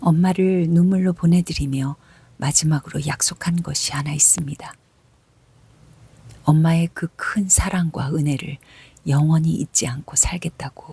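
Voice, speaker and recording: A woman's fairly low, somewhat breathy voice comes through a dry, close sound with no echo. She speaks fairly slowly with fairly even intonation and long, frequent pauses. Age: 50s. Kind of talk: reading her own personal essay aloud. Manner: soft-spoken, emotional.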